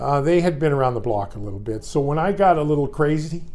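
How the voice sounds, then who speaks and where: Audible room echo surrounds a man with a fairly high pitch. He speaks at a very fast pace. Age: 60s. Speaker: former hockey player and broadcast analyst. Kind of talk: interview. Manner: halting, many repeated words.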